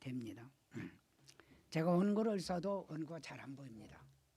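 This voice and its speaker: A man speaks very slowly with lively intonation. His tone is dark and mellow, and somewhat breathy. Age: 80s+. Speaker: pastor. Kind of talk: sermon. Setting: church.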